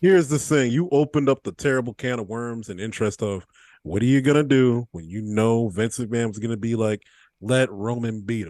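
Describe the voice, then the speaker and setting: Against a quiet background, a man with a plain, everyday voice speaks at a fairly quick pace and medium pitch, with ordinary pitch variation, big swings in loudness and a dry, close sound with no echo. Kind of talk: casual chat.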